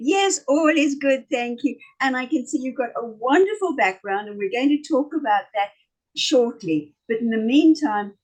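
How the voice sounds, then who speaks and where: A woman speaks with a strong South African accent at a moderate pace. Her voice is high and her intonation lively. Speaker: talk show host. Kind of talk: casual interview.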